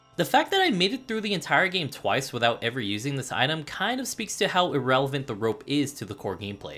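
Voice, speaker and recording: Over music in the background, the speech races at a very fast pace with hardly any pauses. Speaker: video game reviewer. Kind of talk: scripted narration. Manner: casual, profane.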